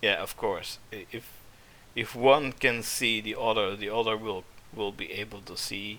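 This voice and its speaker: Loudness swings widely in a bright, sharp tone. The intonation stays monotone and flat, with a non-native accent. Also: man, medium pitch for a man, fairly slow pace. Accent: non-native English, weak th sounds. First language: not English. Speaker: vtuber game streamer. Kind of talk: gameplay livestream commentary. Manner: halting, many fillers.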